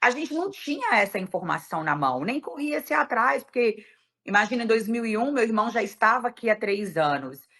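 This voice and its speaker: A woman's medium-pitched voice with very wide pitch swings. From Brazil. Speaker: event promoter and decorator. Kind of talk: podcast interview.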